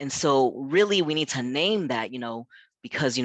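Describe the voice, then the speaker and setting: A man with an American accent talks at a moderate pace against a quiet background. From South Africa and US Midwest. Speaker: pastor and community center founder. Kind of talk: webinar talk. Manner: conversational with many fillers.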